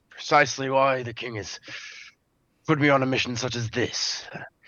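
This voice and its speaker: Putting on a raspy character voice, a man speaks at medium pitch and a moderate pace with fairly even intonation and big swings in loudness. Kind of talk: formal noble speech. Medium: actual play. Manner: stammering, filler-heavy.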